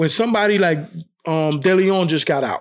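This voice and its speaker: A man talks with a high pitch at a moderate pace. His pitch varies in an ordinary way. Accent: New York. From New York, Brooklyn. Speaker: wrongfully convicted exoneree. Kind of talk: interview testimony.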